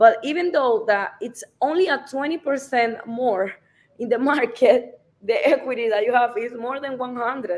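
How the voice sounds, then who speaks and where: Moderate pace, ordinary pitch variation, and a Spanish accent. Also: woman, high pitch for a woman. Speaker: real estate advisor. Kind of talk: live stream interview. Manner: halting.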